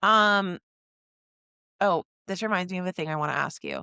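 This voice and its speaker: An excited woman speaks at a fairly quick pace with a bright, sharp tone and medium pitch. The sound is dry and close, with no echo. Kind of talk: casual podcast conversation. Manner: fast, excited.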